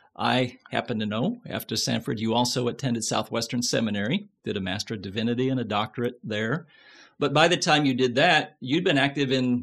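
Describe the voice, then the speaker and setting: A man speaks at a fairly quick pace in a plain, everyday voice of medium pitch. His pitch varies in an ordinary way over a quiet background. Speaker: podcast host. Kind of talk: casual interview.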